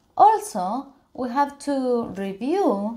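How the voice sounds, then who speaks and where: In a Spanish accent, a woman speaks with a dark, mellow tone. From Argentina, Buenos Aires. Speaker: software tester and conference speaker; conference speaker. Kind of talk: conference talk.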